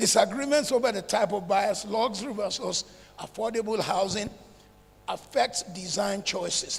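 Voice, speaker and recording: A man with a high pitch and ordinary pitch variation, plus noticeable background noise. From northern Nigeria (Zaria, Kaduna). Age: 70s. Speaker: real estate developer. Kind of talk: conference talk.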